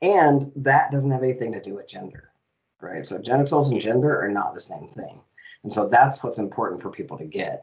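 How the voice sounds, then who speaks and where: A man talking at a fairly quick pace, big swings in loudness, over a quiet background. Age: 50s. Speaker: diversity officer and gender inclusivity educator. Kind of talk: interview. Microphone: headset.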